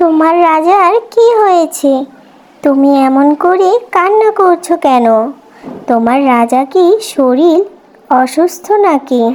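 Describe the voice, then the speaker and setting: A female-sounding voice does a cartoonish character at an extremely high pitch and a very slow pace. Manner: gentle, soothing.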